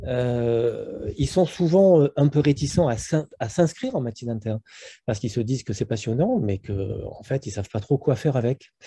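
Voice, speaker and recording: A man's somewhat breathy voice with a dark, mellow tone and lively intonation. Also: medium pitch for a man, moderate pace. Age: 60s. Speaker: internal medicine professor. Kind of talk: webinar panel discussion. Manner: hesitant, many fillers.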